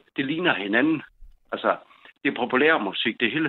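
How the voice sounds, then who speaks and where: A man is speaking at a moderate pace. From northern Jutland, Denmark. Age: 50s. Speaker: caller. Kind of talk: casual chat. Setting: phone call. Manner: halting, hesitant.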